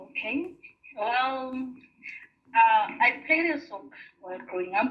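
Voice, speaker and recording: A woman speaks at a fairly slow pace in a high voice, with lively intonation, big swings in loudness and music playing in the background. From South Africa, Venda (Limpopo). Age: 60s. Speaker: former soccer player. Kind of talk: interview. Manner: halting.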